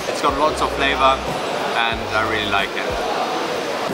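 A man talks while music plays in the background. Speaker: travel vlogger. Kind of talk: casual vlog chat. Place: street. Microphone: phone near.

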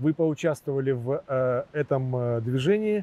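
The sound is dry, with no echo. A man with a fairly high pitch speaks at a very slow pace. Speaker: interviewer. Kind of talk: interview. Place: garden. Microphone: lapel.

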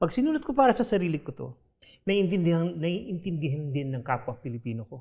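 Over a quiet background, a man with a Filipino accent talks very fast in a high, dark and mellow voice, with very wide pitch swings and big swings in loudness. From Philippines. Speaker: short story writer. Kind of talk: literary panel discussion. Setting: stage with audience. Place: stage. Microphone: lapel.

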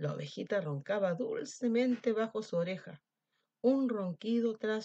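Over a quiet background, the speaker gives a plain reading aloud.

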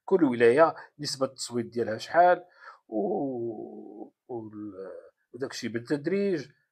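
A man with a Moroccan accent speaks at a fairly slow pace with lively intonation. His loudness swings widely against a quiet background. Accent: Moroccan Darija. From Morocco. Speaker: political commentator. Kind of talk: political commentary monologue. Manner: halting, many fillers. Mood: sarcastic, mocking. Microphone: phone near.

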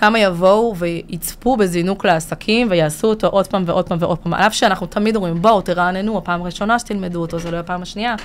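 A woman at a very fast pace with hardly any pauses, medium pitch, and fairly even intonation. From Israel, immigrated from Latvia at six. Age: 30s. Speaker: business consultant and trainer; trainer. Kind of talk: casual interview. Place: studio. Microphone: studio mic.

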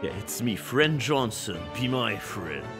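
A man's put-on character voice at medium pitch and a fairly slow pace, over loud music in the background. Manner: cheerfully friendly.

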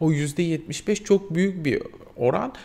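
A man talks with a high pitch and a dark, mellow tone. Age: 40s. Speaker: vlogger, mature student; vlogger. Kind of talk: casual vlog monologue. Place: home room.

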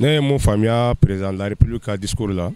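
A man's voice, dry with no echo. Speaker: interviewee. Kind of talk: interview answer. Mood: serious political opinion. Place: street. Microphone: handheld.

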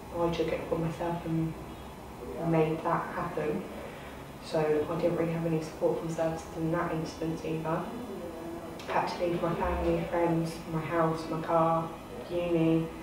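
A woman speaks at a moderate pace with monotone, flat intonation and long, frequent pauses. Noticeable background noise and audible room echo surround her. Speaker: youth commission member. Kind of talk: personal testimony to camera. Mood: serious, composed, personal account. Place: meeting room.

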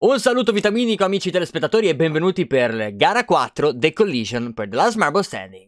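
Against a quiet background with a dry sound and no echo, a man rushes along at a very fast pace with hardly any pauses. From Italy. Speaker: sports commentator. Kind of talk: live sports commentary on marble races, mock-serious TV broadcast style. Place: home room.

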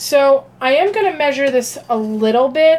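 The voice belongs to a woman. There is light noise in the background. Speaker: psychic and meditation channel host. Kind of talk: casual live stream cooking talk. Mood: relaxed, friendly.

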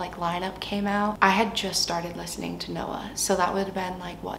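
There is audible room echo along with light background noise. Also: woman. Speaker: vlogger. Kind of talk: casual vlog chat. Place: home room.

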